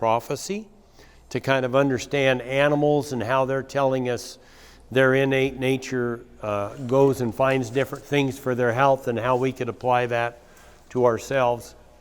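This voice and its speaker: A man in a plain, everyday voice speaks at a fairly slow pace and medium pitch, with fairly even intonation. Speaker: cattle rancher and conference speaker. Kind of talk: conference talk with slides.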